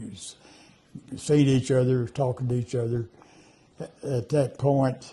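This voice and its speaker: Somewhat breathy and dark, mellow in tone, a man's medium-pitched voice moves at a fairly slow pace in a monotone, flat intonation. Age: 90s. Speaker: elderly interviewee. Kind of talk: interview. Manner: halting.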